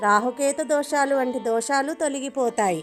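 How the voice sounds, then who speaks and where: A woman with a high pitch speaks in a calm tone, using ordinary pitch variation. Music plays in the background. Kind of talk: devotional story narration in Telugu. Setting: voice-over with background music. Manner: calm, devotional.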